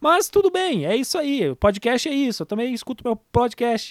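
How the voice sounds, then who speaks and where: Animated in tone, a man's voice swings very widely in pitch, with a dry, close sound and no echo. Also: very clean recording, silent background. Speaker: podcast host. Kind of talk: casual monologue announcement.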